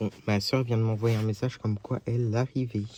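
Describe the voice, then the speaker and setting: A man speaks with a dark, mellow tone at a medium pitch. His intonation is fairly even. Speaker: vlogger. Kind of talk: casual vlog while driving. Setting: in a car. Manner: loud.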